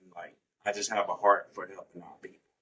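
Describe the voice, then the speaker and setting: With a Georgia accent, a man speaks at a moderate pace. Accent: rural Georgia. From US South, Statesboro, Georgia. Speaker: college student. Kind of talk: podcast interview. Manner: casual, with many fillers.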